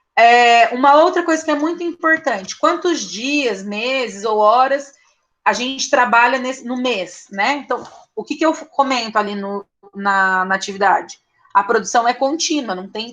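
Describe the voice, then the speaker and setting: Speaking at a fairly slow pace, a woman uses lively intonation and a high-pitched voice with a bright, sharp tone. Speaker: teacher. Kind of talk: online lecture. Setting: online class.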